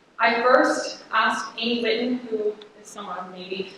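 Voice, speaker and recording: Against noticeable background noise and audible room echo, a woman speaks at a fairly high pitch. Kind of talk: conference presentation. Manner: fast.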